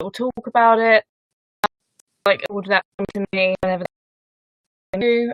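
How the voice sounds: A woman talks at a fairly slow pace and medium pitch, her intonation fairly even, in a dry, close sound with no echo.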